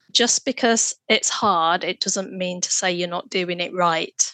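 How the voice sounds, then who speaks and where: A woman with a British accent speaks fairly slowly in a bright, sharp tone with ordinary pitch variation, in a dry, close sound with no echo. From UK. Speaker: fatherhood researcher and nurse. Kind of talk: interview conversation.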